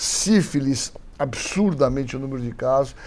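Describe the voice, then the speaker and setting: A man with a fairly high voice speaks at a fairly slow pace against noticeable background noise. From Brazil, Santos (São Paulo coast). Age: 60s. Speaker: physician and infectious disease expert. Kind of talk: interview conversation. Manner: hesitant, many fillers.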